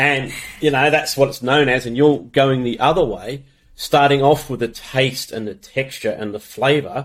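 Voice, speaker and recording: A man's voice in an Australian accent, with ordinary pitch variation. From Australia, came from UK as small child. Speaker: podcast host. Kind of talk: interview.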